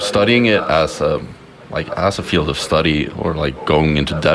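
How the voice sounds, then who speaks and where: Noticeable background noise accompanies a man talking. He speaks at a fairly slow pace in a very deep, low pitch. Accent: Swedish. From Sweden, Stockholm. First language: Swedish. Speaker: communication student. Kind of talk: casual chat. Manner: halting, many fillers.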